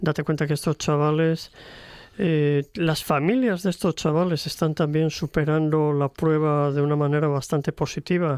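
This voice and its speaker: A man speaks at a fairly high pitch and a moderate pace. His intonation is fairly even, and the background is quiet. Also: dry, close sound with no echo. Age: 60s. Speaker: retired teacher and author. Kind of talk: radio interview. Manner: hesitant, many fillers.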